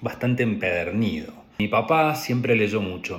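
Using an ordinary speaking voice, a man with a medium pitch speaks at a fairly slow pace with lively intonation. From Argentina, Patagonia (Trelew, Chubut). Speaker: graduate student. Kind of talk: personal narrative for a class assignment.

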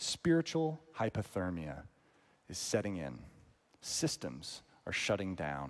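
Speaking in an American accent, a man with a very deep, low pitch moves at a fairly slow pace, his pitch swinging very widely between long, frequent pauses. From northern US. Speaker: pastor. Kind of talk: sermon.

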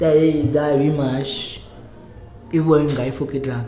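Fairly slow speech with fairly even intonation, audible room echo and noticeable background noise. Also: man. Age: 20s. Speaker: merchant sailor. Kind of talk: casual chat.

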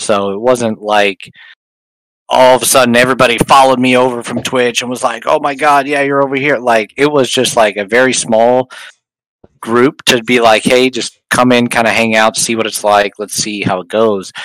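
An unremarkable speaking voice from a man, medium in pitch, with fairly even intonation and a moderate pace. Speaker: podcast panel regular. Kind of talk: casual chat. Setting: Discord voice chat.

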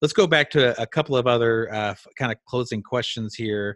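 In a dry, close recording with no echo and a quiet background, a man uses a normal speaking voice at medium pitch with ordinary pitch variation. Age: 40s. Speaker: podcast host. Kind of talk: casual interview.

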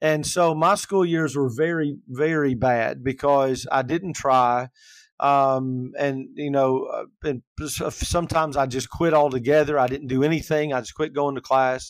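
With an ordinary speaking voice, a man talks at a fairly high pitch and a fairly slow pace, his intonation fairly even, on a very clean recording with a silent background. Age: 50s. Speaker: life coach and minister. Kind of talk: casual chat.

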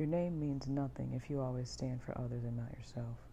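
Her voice very deep and low, a woman speaks at a fairly quick pace in a somewhat breathy, dark, mellow tone with monotone, flat intonation. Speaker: podcaster. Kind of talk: casual podcast monologue. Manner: casual, conversational.

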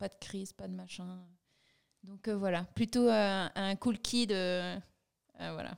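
Very slowly, with long, frequent pauses, a woman speaks in a medium pitch. Her intonation is monotone and flat, though her loudness swings widely. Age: 30s. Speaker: brand co-founder. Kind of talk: casual interview.

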